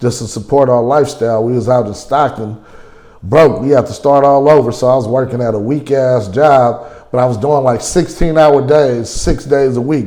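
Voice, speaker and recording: A man with an American accent speaks in a normal speaking voice at a medium pitch. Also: fairly even intonation, moderate pace. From California. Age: 40s. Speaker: interviewee, recovering gambling addict. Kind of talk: documentary interview. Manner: casual, slangy.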